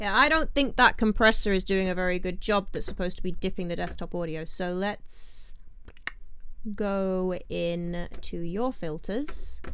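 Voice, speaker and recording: With a British accent, a woman speaks at a fairly slow pace, and audible room echo surrounds her voice. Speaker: indie musician and producer, channel host. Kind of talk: tutorial. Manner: casual thinking aloud.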